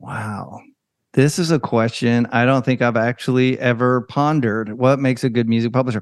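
Against a quiet background, a man in an ordinary speaking voice talks at a moderate pace with a medium pitch. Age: 50s. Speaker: podcast host and music publisher. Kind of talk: casual interview.

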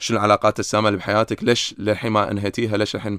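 Here a man talks at a very fast pace with a Kuwaiti accent, his pitch fairly low. The recording is very clean, with a silent background. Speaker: psychiatrist. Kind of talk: casual interview.

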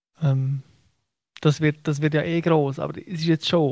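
A man with a fairly high pitch and ordinary pitch variation speaks at a very slow pace, somewhat breathy, in a dry, close sound with no echo. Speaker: football journalist. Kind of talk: casual chat. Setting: radio studio, remote.

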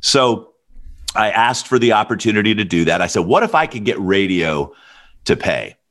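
Energetic and fairly low-pitched, a man talks with an American accent. His pace is moderate and his pitch variation ordinary. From US South. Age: 50s. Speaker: music manager. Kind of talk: interview.

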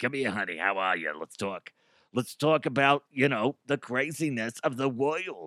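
A man's put-on character voice, raspy and gravelly, at medium pitch and a moderate pace, on a very clean recording with a silent background. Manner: warm, chatty.

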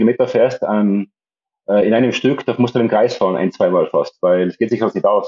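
A man talks at a moderate pace. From Austria, Tyrol. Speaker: psychiatrist and amateur long-distance cyclist. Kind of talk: podcast interview. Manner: halting, many repetitions and fillers.

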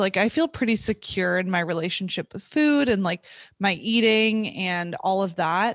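Over a quiet background, a woman uses a normal speaking voice at a medium pitch, with lively intonation and a fairly slow pace, the sound dry and close with no echo. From US West (California, Montana). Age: 20s. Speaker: former athlete, triathlete. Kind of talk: interview, casual conversation.

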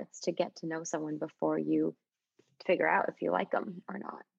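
Vocal fry runs through this woman's speech with an American accent. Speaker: podcast host. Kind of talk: casual chat.

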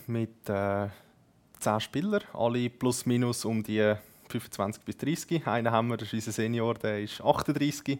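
Captured on a very clean recording with a silent background, a man talks very slowly at a medium pitch with ordinary pitch variation. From Zurich Oberland, Switzerland. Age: 20s. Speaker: esports gamer, team captain. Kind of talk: casual interview.

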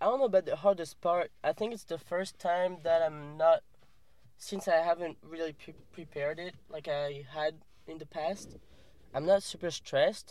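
With a French accent, a man speaks at high pitch with ordinary pitch variation. His pace is moderate, and his loudness swings widely. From France. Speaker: professional kayaker. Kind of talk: casual interview. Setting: in a car.

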